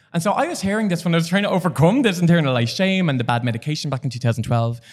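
A man with a Dublin accent speaks very fast in an animated tone with lively intonation, recorded very cleanly against a silent background. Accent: Dublin Irish. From Ireland, Dublin. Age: 30s. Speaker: HIV activist. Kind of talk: casual chat. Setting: studio.

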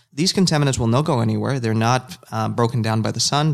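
With a Spanish accent, a man speaks at a medium pitch. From Nicaragua. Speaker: environmental scientist. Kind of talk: casual chat.

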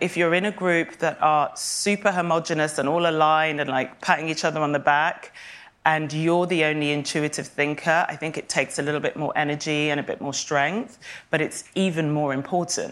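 The delivery moves at a fairly quick pace, with fairly even intonation. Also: woman, very deep, low pitch for a woman. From Kenya and St Kitts, then London. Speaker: fashion media executive. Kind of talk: onstage interview. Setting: conference stage.

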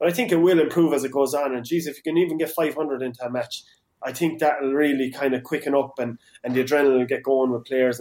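A man with an Irish accent talks very fast in a fairly high pitch, his pitch varying in an ordinary way. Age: 30s. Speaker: hurling pundit and club player. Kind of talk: casual sports chat.

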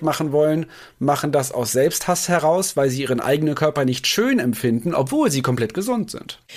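Here is a plain, everyday voice: a man with a fairly high pitch and lively intonation. The recording is very clean, with a silent background. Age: 30s. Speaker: nutrition expert. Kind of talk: casual chat.

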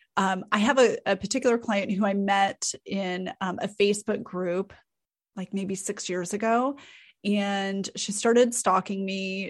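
A woman talks at a moderate pace over a quiet background. She has an ordinary speaking voice and fairly even intonation. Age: 40s. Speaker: content strategist. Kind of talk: interview.

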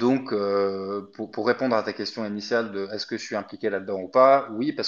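Against a quiet background, a man with an ordinary speaking voice talks at a fairly quick pace, his fairly low pitch held in fairly even intonation. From Egypt. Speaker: crypto company employee. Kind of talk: interview.

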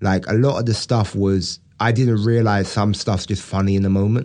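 A man's voice has a dark, mellow tone and a moderate pace. The background is quiet. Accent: British. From England. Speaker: stand-up comedian. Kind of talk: casual chat.

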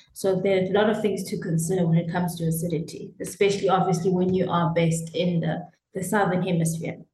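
The delivery is very fast, with hardly any pauses and a monotone, flat intonation. Room echo is audible. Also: woman, fairly low pitch for a woman. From South Africa. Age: 30s. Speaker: winemaker. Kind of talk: interview.

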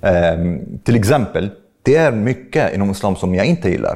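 A man with an Arabic accent talks at a moderate pace in a fairly low pitch, his intonation lively. His tone is dark and mellow. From Egypt. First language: Arabic (speaking Swedish). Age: 30s. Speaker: podcast host and atheist commentator. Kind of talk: interview. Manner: halting.

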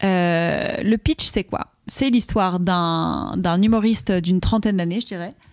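This woman speaks at a very slow pace. Her pitch is medium, with ordinary variation. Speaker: comedian. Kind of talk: casual chat. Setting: live stream.

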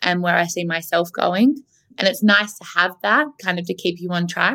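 A woman with an Australian accent, fairly low pitch and a bright, sharp tone, at a moderate pace. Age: 30s. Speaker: marketing agency founder. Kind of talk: interview. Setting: remote recording from Melbourne.

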